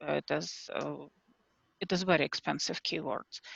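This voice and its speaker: A woman with a non-native accent speaks at a fairly slow pace. The sound is dry and close, with no echo. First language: not English. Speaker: self-published children's author. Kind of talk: group video call discussion. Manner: hesitant, many fillers.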